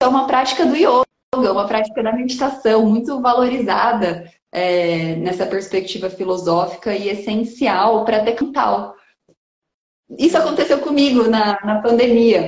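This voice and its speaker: A woman with lively intonation at a moderate pace. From interior of São Paulo state, Brazil (Bauru area, rural). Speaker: environmental educator and researcher. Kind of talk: casual interview chat. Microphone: connection stuttering at times.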